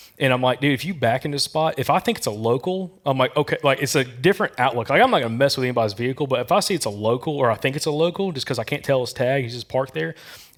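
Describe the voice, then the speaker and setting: At a very fast pace with hardly any pauses, a man with a slight Southern US accent speaks at a medium pitch with ordinary pitch variation. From Alabama. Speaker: hunting podcast host. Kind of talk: casual chat. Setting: live audience at an expo. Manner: animated.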